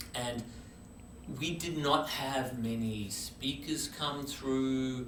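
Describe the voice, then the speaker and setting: Speaking very slowly with fairly even intonation, a man is heard over noticeable background noise and audible room echo. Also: medium pitch for a man. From Australia. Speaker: chemistry professor. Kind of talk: casual interview.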